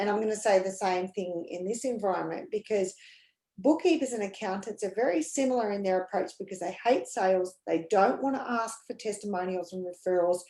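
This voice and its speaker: This woman talks fairly quickly in a medium pitch. Her pitch variation is ordinary. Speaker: sales coach. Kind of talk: casual chat. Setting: live video call webinar. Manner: energetic.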